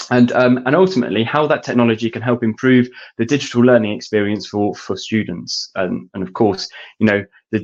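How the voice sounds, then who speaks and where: A man speaks with a British accent at a fairly quick pace. His pitch is medium, with ordinary variation. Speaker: education technology specialist. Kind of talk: webinar presentation. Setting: online webinar. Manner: halting.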